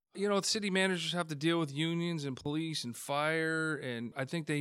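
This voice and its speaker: With a Canadian accent and an unremarkable speaking voice, a man talks at a fairly high pitch with ordinary pitch variation and hardly any pauses, in a very clean recording with a silent background. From Hamilton, Ontario, Canada. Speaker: city council candidate. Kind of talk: interview.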